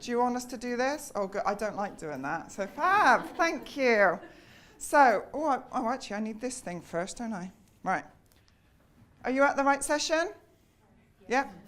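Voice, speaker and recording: A woman with a British accent and a high voice speaks at a moderate pace, with very wide pitch swings, big swings in loudness and long, frequent pauses. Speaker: conference speaker. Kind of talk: talk to live audience. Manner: loud, projecting; chatty, lively.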